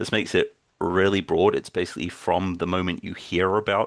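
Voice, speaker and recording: Someone with a New Zealand accent speaks at a moderate pace, the sound dry and close with no echo and the background quiet. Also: man. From New Zealand (Timaru). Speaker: games user researcher, workshop presenter. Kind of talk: workshop lecture.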